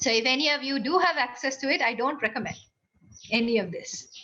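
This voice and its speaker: A woman speaks at a fairly quick pace in a raised, projected voice, high-pitched, with ordinary pitch variation. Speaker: university lecturer and engineer. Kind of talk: lecture. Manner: fast.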